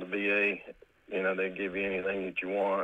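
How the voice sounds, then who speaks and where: A man with an Appalachian accent. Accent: Appalachian American. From West Virginia. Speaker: caller, military veteran. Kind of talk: personal testimony. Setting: phone call. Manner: laughs often, halting.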